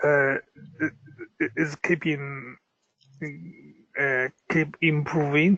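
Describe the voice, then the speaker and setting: Speaking very slowly with long, frequent pauses, a man uses a fairly high pitch and a bright, sharp tone in a monotone, flat delivery. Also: dry, close sound with no echo. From China. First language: Chinese. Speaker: aspiring interpreter. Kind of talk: casual chat. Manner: halting.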